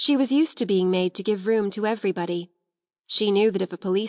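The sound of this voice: All is quiet in the background. Over it comes an unforced reading voice.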